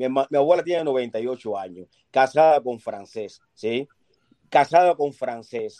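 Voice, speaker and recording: A man's voice, dark and mellow at a medium pitch, moves at a very slow pace with ordinary pitch variation in a dry, close sound with no echo. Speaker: caller on live stream. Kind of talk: heated debate. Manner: insistent, repetitive.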